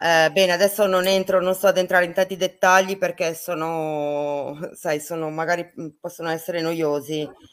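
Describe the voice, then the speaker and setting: Over noticeable background noise, a woman speaks at a moderate pace in a fairly low, monotone, flat voice. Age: 50s. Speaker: medium. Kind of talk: interview.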